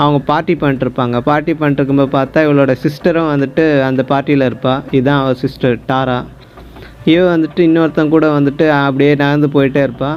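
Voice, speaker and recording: Amid noticeable background noise, a man with a fairly high pitch speaks in a monotone, flat intonation at very even loudness. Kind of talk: movie explanation narration. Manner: casual, chatty storytelling.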